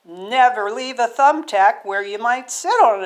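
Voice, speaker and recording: A woman does a put-on character voice, pitched high, with ordinary pitch variation. Her loudness swings widely at a moderate pace. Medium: read story. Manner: earnest, instructive.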